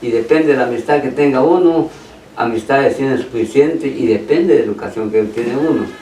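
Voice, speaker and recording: With audible room echo and noticeable background noise, a man speaks at a fairly quick pace in a fairly high pitch. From Petén, Guatemala (San Andrés). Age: 80s+. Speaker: brother of honoree, interviewee. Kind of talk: radio interview, reminiscing.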